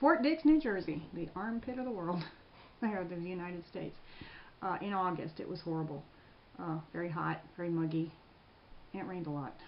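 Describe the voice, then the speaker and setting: A woman with a Mid-Atlantic American accent speaks at a fairly quick pace in a fairly low pitch. Her pitch varies an ordinary amount, and she takes long, frequent pauses. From Prince George's County, Maryland. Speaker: military veteran. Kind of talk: interview answer.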